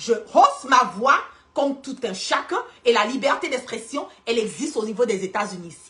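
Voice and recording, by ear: At a moderate pace, a woman talks with a fairly high pitch, big pitch swings and a fairly bright tone.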